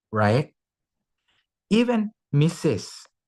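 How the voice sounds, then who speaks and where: A man with a non-native accent, speaking at a very slow pace. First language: not English. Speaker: conference speaker. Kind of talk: lecture. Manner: halting.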